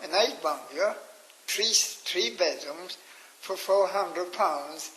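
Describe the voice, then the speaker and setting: The speaker has a Cork accent and ordinary pitch variation. Noticeable background noise runs under the voice. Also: man. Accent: Cork Irish. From Ireland, County Cork. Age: 80s+. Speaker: elderly interviewee recounting memories. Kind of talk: oral history interview. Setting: radio interview. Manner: halting.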